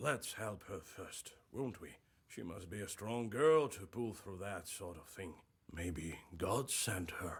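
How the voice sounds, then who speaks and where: Using a put-on character voice, a man speaks fairly slowly, raspy and fairly low-pitched, with lively intonation. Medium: video game.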